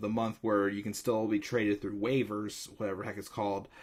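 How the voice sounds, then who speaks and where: Captured on a very clean recording with a silent background, a man speaks in a fairly low pitch. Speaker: sports news vlogger. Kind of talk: casual talk to camera. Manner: casual, hesitant, many fillers.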